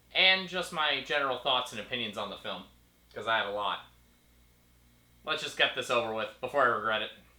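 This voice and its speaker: A man with a bright, sharp tone talks at a very fast pace with lively intonation and long, frequent pauses, amid audible room echo. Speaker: film photographer. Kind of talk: casual talk to camera. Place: home room.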